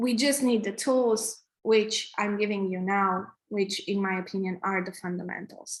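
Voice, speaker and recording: A woman's medium-pitched voice with a Romanian accent, fairly even intonation and a moderate pace. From Romania, Transylvania. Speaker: app developer and tech co-founder teaching coding. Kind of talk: online coding workshop. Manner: halting with many restarts and fillers.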